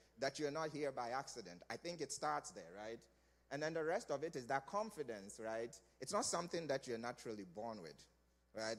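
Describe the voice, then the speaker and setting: A man speaks with a non-native accent at a fairly quick pace. His pitch swings very widely. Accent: foreign accent, still noticeable. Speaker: career day speaker, hiring professional. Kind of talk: motivational talk. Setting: church stage with audience.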